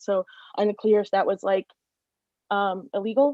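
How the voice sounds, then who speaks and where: A woman's dark, mellow tone, dry and close with no echo. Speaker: public commenter, social worker. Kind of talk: public testimony. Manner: fast.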